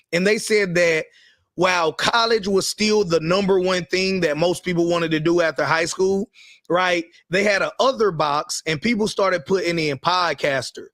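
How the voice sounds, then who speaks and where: On a very clean recording with a silent background, a man with a Carolinas accent speaks at a moderate pace and a high pitch, with ordinary pitch variation and very even loudness. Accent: Southern US, Carolinas. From US South, the Carolinas. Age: 30s. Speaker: entrepreneur and online business show co-host. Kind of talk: casual live-stream discussion.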